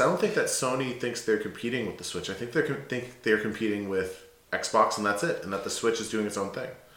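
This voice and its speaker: A man speaks very fast at a medium pitch, with lively intonation and hardly any pauses. Noticeable background noise sits behind him. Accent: American. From United States. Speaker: gaming podcast co-host. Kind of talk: casual chat.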